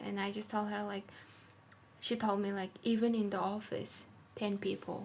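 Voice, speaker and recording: At a moderate pace, a woman talks in a medium-pitched, somewhat breathy voice. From Mongolia. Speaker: fashion designer. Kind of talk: casual interview. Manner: halting non-native English.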